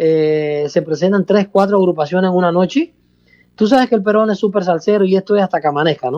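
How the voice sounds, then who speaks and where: Pitched high for a man, this man's voice has a dark, mellow tone and races along at a very fast pace. The sound is dry and close, with no echo. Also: ordinary pitch variation. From Cuba, province outside Havana. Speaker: salsa orchestra musical director. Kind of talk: radio interview. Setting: phone call.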